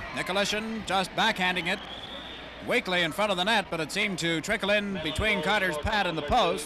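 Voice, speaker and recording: Over noticeable background noise, a man speaks in a raised, projected voice at a high pitch with ordinary pitch variation. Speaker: radio hockey play-by-play announcer. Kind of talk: live radio sports play-by-play commentary. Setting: radio broadcast from a hockey arena. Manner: fast, energetic.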